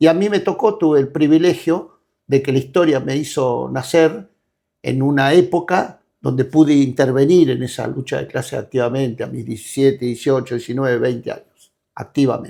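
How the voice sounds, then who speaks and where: A man's fairly high voice has a dark, mellow tone and ordinary pitch variation, recorded very cleanly over a silent background. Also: moderate pace. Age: 70s. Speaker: political activist leader. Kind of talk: interview. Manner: halting.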